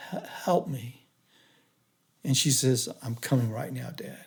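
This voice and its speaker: A man at a moderate pace, fairly high in pitch and somewhat breathy, with ordinary pitch variation. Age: 60s. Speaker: engineer, stroke survivor. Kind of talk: podcast interview, personal testimony. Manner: halting.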